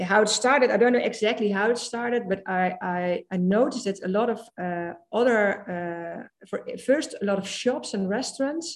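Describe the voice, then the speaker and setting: A woman speaks in a Dutch accent at a fairly high pitch. Her pace is moderate. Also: ordinary pitch variation. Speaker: social media trainer. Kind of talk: casual chat. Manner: halting.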